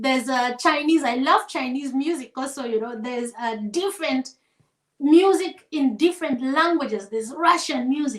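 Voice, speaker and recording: Speaking at a moderate pace, a woman with an African accent uses a high pitch and ordinary pitch variation. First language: African vernacular language. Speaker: singer. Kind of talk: casual interview chat. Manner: hesitant, many fillers.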